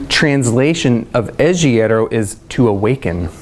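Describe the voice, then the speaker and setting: With noticeable background noise and audible room echo, a man speaks at a medium pitch with ordinary pitch variation. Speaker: herbalist teacher. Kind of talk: lecture. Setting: conference stage with audience. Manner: animated.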